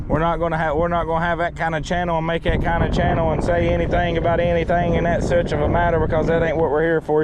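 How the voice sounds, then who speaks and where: Pitched high for a man, this male voice comes through noticeable background noise. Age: 30s. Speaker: fishing video host. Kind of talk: casual vlog commentary. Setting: outdoors on a boat. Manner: casual, repetitive.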